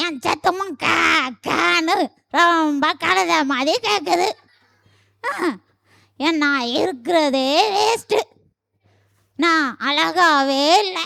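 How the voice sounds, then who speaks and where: In a high-pitched, cartoonish character voice, the speaker goes at a very slow pace. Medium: puppet. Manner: sorrowful, pleading.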